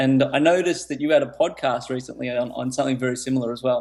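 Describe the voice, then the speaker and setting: The speaker talks with an Australian accent at a fairly quick pace. The intonation stays fairly even. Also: man. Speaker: teacher, author, entrepreneur. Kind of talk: podcast interview answer.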